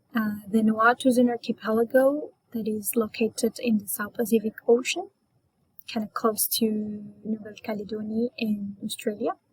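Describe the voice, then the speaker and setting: A woman's fairly high, somewhat breathy voice with fairly even intonation and a moderate pace, in a dry, close sound with no echo. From Colombia, Antioquia. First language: Spanish. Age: 20s. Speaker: Spanish teacher and English learner. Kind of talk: class self-introduction. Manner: hesitant, many fillers.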